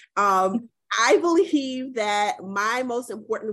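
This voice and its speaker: The speaker has an American accent and an animated tone. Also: woman. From South Carolina (Columbia). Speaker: political training organization director. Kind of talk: interview conversation.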